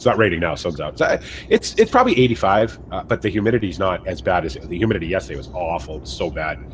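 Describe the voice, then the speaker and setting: Talking at a very fast pace with hardly any pauses, a man speaks in a Massachusetts accent with lively intonation. His loudness swings widely over noticeable background noise. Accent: weird Massachusetts. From US Northeast, central Massachusetts. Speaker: gaming streamer. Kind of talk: casual chat.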